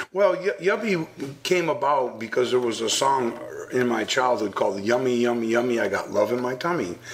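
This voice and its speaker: This man has a medium pitch and lively intonation, moving at a moderate pace. Noticeable background noise runs under his speech. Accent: American. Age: 60s. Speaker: anti-bullying speaker. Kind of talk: radio interview. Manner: halting.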